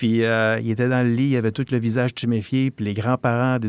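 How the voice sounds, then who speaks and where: Here a man speaks fairly quickly at a medium pitch in a monotone, flat delivery. The sound is dry and close with no echo, in a very clean recording with a silent background. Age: 60s. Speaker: retired police officer. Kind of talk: podcast interview, storytelling. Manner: halting, many hesitations.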